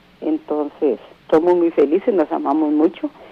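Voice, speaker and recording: There is noticeable background noise. The speaker keeps a moderate pace. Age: 60s. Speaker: caller. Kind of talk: radio call-in question.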